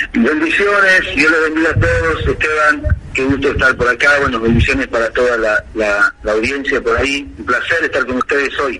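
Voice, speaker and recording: With noticeable background noise behind him, a man talks at a moderate pace and hardly pauses. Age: 40s. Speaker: pastor. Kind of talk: interview testimony.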